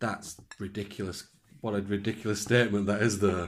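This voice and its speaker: Speaking with a northern English accent, a man has a fairly low pitch. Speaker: podcast co-host. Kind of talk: casual chat.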